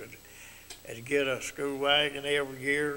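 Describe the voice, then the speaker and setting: A man with a Mississippi accent speaks in a flat monotone at a moderate pace and a fairly high pitch. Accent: rural Mississippi Southern. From US South, Tippah County, Mississippi. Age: 70s. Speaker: retired carpenter, local elder. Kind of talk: interview about life memories. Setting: TV studio. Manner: halting, repetitive.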